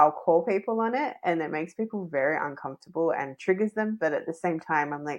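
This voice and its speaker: Against a quiet background, a woman with an ordinary speaking voice talks at a fairly quick pace with lively intonation. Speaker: podcast host. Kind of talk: podcast host conversation.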